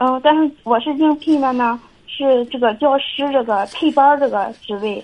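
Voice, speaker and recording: A woman speaks in a high pitch with ordinary pitch variation. Her pace is fairly slow. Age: 20s. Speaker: caller, kindergarten teacher and young mother. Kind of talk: radio call-in advice chat. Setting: phone call. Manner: soft-spoken; halting.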